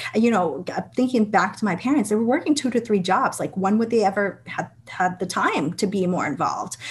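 A fairly high, somewhat breathy woman's voice in a New England accent, fairly quick, with lively intonation. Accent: American, New England. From Vietnam, raised in Massachusetts from age five. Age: 30s. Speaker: state legislator. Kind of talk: interview.

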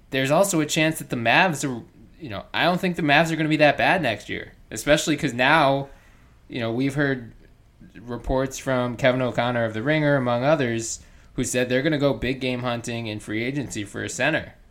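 With a normal speaking voice, a man talks at a moderate pace and ordinary pitch variation on a very clean recording with a silent background.

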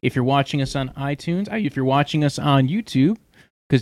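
Recorded very cleanly with a silent background and a dry, close sound with no echo, a man uses a normal speaking voice at a fairly high pitch with ordinary pitch variation. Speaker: podcast host. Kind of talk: casual chat. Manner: joking, banter.

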